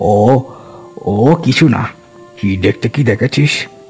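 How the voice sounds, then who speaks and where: A man performs a cartoonish character voice at a moderate pace while clear music plays in the background. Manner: rustic, fatherly.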